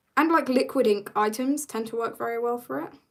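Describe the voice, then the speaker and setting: An animated woman speaks with a British accent. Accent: British, sometimes taken for Australian. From Britain. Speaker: artist streamer. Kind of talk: casual live stream chat while painting. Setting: live stream.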